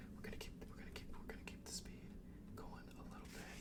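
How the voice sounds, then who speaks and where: A man whispers in a gentle tone. Noticeable background noise sits behind him. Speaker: ASMR creator. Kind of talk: ASMR whispered ramble to camera. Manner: whispering, gentle, rambling, repetitive stutters.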